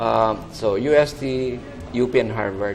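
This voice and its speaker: Noticeable background noise and audible room echo fill this recording. A man speaks at a medium pitch with ordinary pitch variation. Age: 60s. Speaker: architect. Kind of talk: TV interview.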